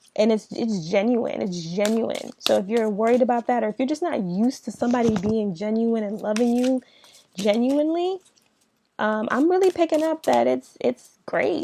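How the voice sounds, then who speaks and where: A woman's dark, mellow tone with lively intonation at a moderate pace, in a dry, close sound free of echo. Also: fairly high pitch for a woman. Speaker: tarot reader. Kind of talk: tarot reading. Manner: casual, conversational.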